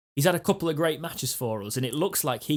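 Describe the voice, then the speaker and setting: With a northern English accent, a man talks at a very fast pace. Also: very clean recording, silent background. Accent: general northern English. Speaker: football fan podcast co-host. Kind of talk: casual chat.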